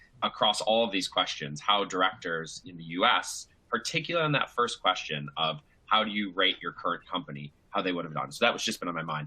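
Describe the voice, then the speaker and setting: A bright, sharp tone moves at a fairly quick pace with very wide pitch swings. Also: man. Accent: American. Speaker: asset manager, panelist. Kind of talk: panel discussion. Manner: halting.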